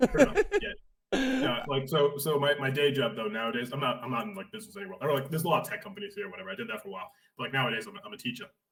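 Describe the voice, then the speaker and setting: A man with a Boston accent at a very fast pace, fairly high in pitch, with very wide pitch swings and big swings in loudness. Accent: thick Boston. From Boston area, Massachusetts. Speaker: teacher. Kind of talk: casual chat.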